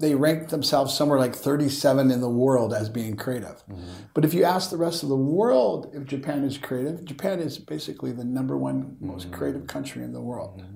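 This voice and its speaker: A man with a normal speaking voice and an American accent talks at a fairly quick pace in a medium pitch, with lively intonation and big swings in loudness. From US West Coast, Northern California. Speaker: education and tech entrepreneur. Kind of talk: interview.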